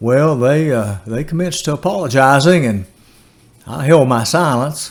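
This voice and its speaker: A man with a Tennessee accent, fairly high pitch, lively intonation and a moderate pace. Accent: Southern US (Tennessee). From US South, Tennessee. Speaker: storyteller. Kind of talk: storytelling.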